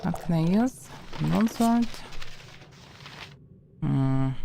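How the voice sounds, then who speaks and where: Her pace is very slow, with ordinary pitch variation. The woman speaks with a Russian accent. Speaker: streamer. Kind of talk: casual gameplay commentary.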